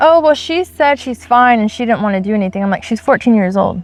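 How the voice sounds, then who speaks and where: Loud and very fast, a woman with a high voice speaks with lively intonation in a dry, close sound with no echo. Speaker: faith channel co-host. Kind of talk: casual discussion.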